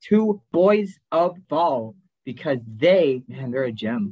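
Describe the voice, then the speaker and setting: Over a quiet background, a man with an American accent speaks with very wide pitch swings. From Wisconsin. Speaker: podcast co-host. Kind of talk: casual chat.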